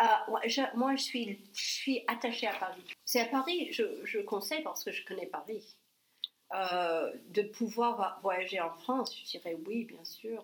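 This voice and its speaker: Speaking with an English accent, a woman goes at a very slow pace. Her fairly high voice has lively intonation. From US South, New Orleans, Louisiana. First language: English (speaking French). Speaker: ESL teacher and real estate agent. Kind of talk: casual interview chat. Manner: halting, with repetitions.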